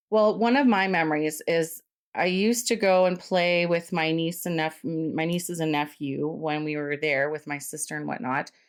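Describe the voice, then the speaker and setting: The pace is moderate, with hardly any pauses. Pitch varies in an ordinary way, and the speaker has a Canadian accent. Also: woman, fairly low pitch for a woman. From England, raised in Canada from about age four. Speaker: podcast host. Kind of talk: casual interview with her father. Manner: animated.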